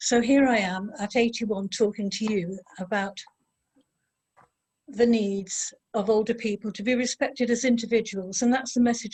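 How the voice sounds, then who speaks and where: This woman's voice is somewhat breathy. Her pitch sits fairly high. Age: 80s+. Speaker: volunteer chair of older people's programme. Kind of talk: speech at online event. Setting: online video event.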